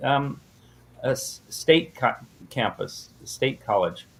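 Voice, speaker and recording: A man with ordinary pitch variation. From US West Coast, San Diego. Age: 60s. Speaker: minister and math teacher. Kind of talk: casual interview. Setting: podcast.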